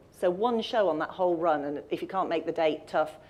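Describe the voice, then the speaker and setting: The woman's pace is fairly quick, her pitch medium, and her pitch variation ordinary. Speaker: audio describer and accessibility presenter. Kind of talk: presentation talk. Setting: live event with audience and stream. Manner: fast.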